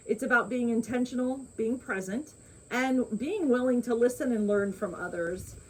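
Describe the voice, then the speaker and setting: At a moderate pace, a woman talks in a high pitch with ordinary pitch variation against noticeable background noise. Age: 60s. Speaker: co-host of a lifestyle channel. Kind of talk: casual chat.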